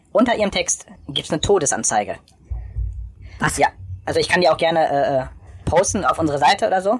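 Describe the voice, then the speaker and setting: This man talks with lively intonation at a high pitch. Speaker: podcast co-host. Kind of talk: casual chat. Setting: remote call, recording on laptop. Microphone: laptop held close to face.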